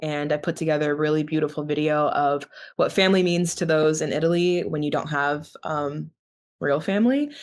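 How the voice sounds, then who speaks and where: A woman with an American accent has a plain, everyday voice and a fairly low pitch. She talks at a fairly quick pace against a quiet background. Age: 20s. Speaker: university student. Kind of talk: interview.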